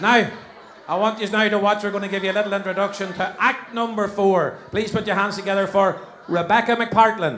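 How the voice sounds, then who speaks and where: A man speaks fairly quickly in an animated tone at a high pitch. Audible room echo and noticeable background noise are present. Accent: Northern Irish. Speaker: compere of charity talent show. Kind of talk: live stage hosting. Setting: stage with audience.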